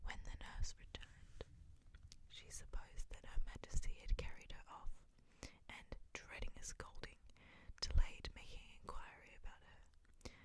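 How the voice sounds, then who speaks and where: Whispering, the voice moves at a fairly slow pace. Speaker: ASMR storyteller. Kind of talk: fairy tale reading, bedtime story. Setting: binaural ASMR recording. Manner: whispered, soft-spoken.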